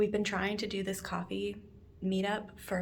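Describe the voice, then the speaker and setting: A woman speaks at a moderate pace with vocal fry. Audible room echo surrounds her voice. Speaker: vlogger, physical therapy student. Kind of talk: casual vlog chat. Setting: outdoors.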